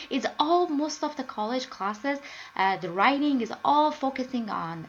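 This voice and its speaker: At a fairly slow pace, a woman talks in a high pitch with lively intonation. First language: not English (third language). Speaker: student. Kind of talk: screencast presentation. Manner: halting, many fillers.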